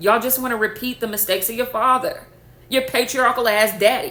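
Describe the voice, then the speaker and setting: A loud, animated woman at a moderate pace, her tone bright and sharp. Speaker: spiritual content creator. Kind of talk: rant to camera.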